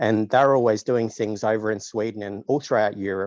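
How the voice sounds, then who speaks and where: Against a quiet background, a man with an Australian accent speaks at a fairly low pitch with fairly even intonation, the sound dry and close with no echo. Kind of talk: casual interview.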